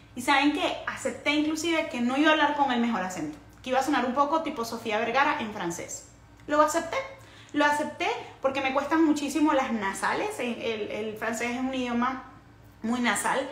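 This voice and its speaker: A woman's high voice at a fairly quick pace with ordinary pitch variation, amid audible room echo and noticeable background noise. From Venezuela, Caracas. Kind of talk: casual livestream talk. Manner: animated.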